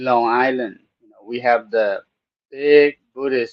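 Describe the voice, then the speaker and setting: A man with a Thai accent at a medium pitch and very slow pace. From Thailand. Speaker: Buddhist monk, program host. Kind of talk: casual talk show monologue. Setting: studio. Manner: halting, many fillers.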